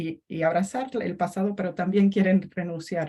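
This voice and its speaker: A woman's medium-pitched, somewhat breathy voice with a dark, mellow tone. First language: English (speaking Spanish). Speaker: historian. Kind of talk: academic panel talk. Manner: halting.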